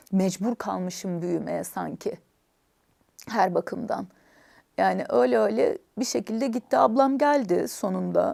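Over a very clean recording with a silent background, a woman speaks at a very slow pace, leaving long, frequent pauses. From Istanbul village, Bartın family roots. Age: 40s. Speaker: language academy founder. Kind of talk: personal life story interview.

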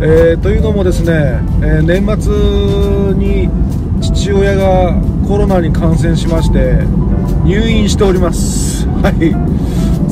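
Loud music plays in the background while the speech moves at a very slow pace. Pitch varies in an ordinary way, and the sound is dry with no echo. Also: man. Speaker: vlogger. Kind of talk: casual vlog chat. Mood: calm, slightly concerned. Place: car. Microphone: phone near.

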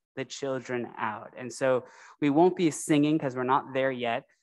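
The voice has a warm, animated tone. The background is quiet. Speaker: religious educator for children. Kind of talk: story for children. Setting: church. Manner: warm and animated. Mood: warm, heartfelt. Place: church. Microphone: podium.

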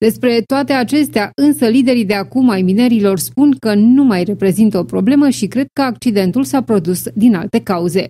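A woman's fairly high, somewhat breathy voice with a dark, mellow tone and a serious tone. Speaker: news presenter. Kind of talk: news reading, scripted broadcast delivery. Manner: formal, even and measured; serious, neutral reporting tone.

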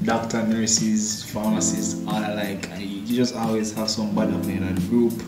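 Loud music plays in the background. A man with a Jamaican accent talks at a fairly quick pace. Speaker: pharmacist. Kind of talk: casual talk to camera. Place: home room. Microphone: camera far.

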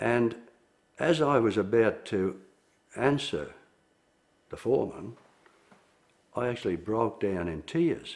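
Speaking with an Australian accent, a man talks at a fairly slow pace with lively intonation and long, frequent pauses. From Melbourne, Australia. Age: 70s. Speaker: former union organiser. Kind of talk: interview answer. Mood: reflective, sombre. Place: studio. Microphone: lapel.

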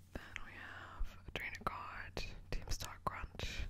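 The speaker is a woman. Her words come out in a whisper. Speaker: Pokemon ASMR content creator. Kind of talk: ASMR card-opening, casual talk to camera. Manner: whispered, soft. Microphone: studio mic.

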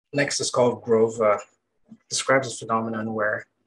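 Faint noise sits in the background. The man's delivery is neither fast nor slow. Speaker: poet. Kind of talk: poetry reading. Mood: calm, measured. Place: home room. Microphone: webcam.

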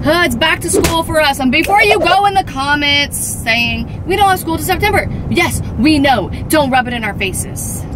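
A woman at a moderate pace, dry sound with no echo, noticeable background noise. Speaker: family vlogger. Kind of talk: casual vlog chat. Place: car. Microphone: phone near.

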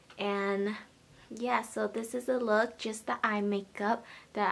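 A woman talks at a very slow pace in a fairly high pitch, her intonation fairly even. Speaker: beauty vlogger. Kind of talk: makeup tutorial talk to camera. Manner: quiet, soft-spoken. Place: home room. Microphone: phone near.

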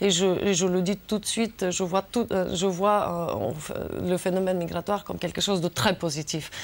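This woman speaks at a moderate pace and medium pitch. Her intonation is monotone and flat. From Bulgaria. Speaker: member of European Parliament. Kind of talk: TV interview. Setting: studio. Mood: calm, earnest. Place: studio. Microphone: lapel.

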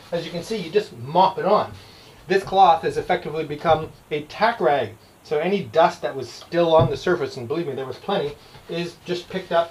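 A high-pitched male voice at a fairly quick pace. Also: ordinary pitch variation. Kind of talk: casual vlog chat. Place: boat. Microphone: camera far.

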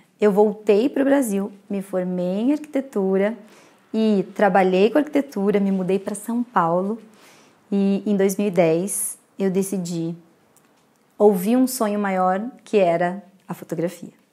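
A woman's dark, mellow voice at a fairly slow pace, with long, frequent pauses and a quiet background. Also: ordinary pitch variation. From Brazil. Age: 30s. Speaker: photographer. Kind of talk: lecture. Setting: recorded talk to camera. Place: home room.

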